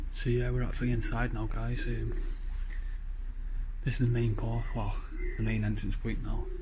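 Moderate pace against noticeable background noise. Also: man. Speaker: urban explorer vlogger. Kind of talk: casual vlog chat. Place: factory. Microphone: phone near.

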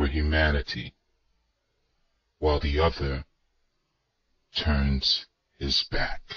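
In a cartoonish character voice, a man speaks at a very slow pace with a very deep, low pitch and long, frequent pauses. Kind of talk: documentary narration. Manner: grave, reflective.

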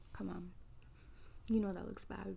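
The voice has a dark, mellow tone and monotone, flat intonation, with light background noise. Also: woman. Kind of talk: roleplay monologue to the viewer. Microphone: phone near.

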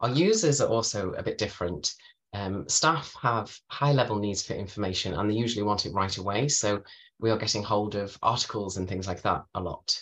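Fairly low-pitched man with a Merseyside accent, fairly quick pace and ordinary pitch variation. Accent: northern English, Merseyside. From northern England (Merseyside); northern England. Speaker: librarian; guest. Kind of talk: webinar presentation. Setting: video call from home. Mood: friendly, calm. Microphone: webcam.

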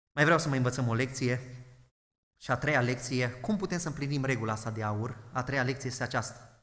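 A man's medium-pitched voice with ordinary pitch variation, a fairly quick pace and audible room echo. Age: 20s. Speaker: pastor. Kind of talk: sermon.

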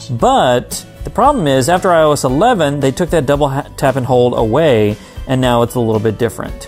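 Faint music plays behind a man who speaks at a moderate pace, with ordinary pitch variation and very even loudness. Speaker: tech accessibility vlogger. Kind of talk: tutorial. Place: home room. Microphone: phone near.

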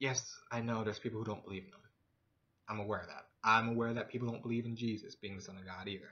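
A man talks at a very fast pace in a monotone, flat intonation. The background is quiet. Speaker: vlogger. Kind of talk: casual vlog monologue on religion. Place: home room. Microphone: webcam.

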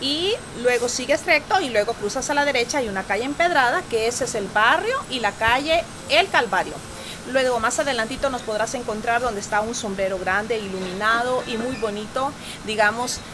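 A high-pitched woman at a moderate pace amid noticeable background noise. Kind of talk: promotional interview talk. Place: shop.

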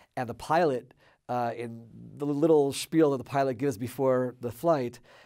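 A man speaks at a moderate pace with an American accent and fairly even intonation. Music plays in the background. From Maryland, USA. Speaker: former member of parliament. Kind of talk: interview answer. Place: studio.

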